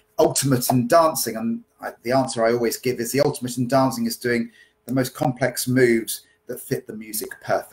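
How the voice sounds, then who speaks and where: The voice is somewhat breathy and moves at a fairly quick pace. Its pitch varies in an ordinary way. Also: man. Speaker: dance teacher. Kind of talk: casual podcast Q&A answers. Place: home room. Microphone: webcam.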